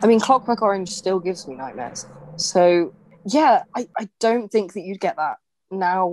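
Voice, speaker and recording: With a normal speaking voice, a woman talks at a moderate pace and medium pitch, her intonation lively, her loudness swinging widely, and the sound dry and close with no echo. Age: 20s. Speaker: podcast co-host. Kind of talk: casual chat.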